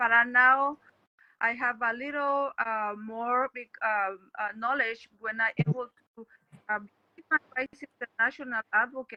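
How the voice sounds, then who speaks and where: A woman's high voice, fairly even in intonation, with big swings in loudness. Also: fairly slow pace. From Mexico. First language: Spanish. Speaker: actress. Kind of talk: interview. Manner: halting.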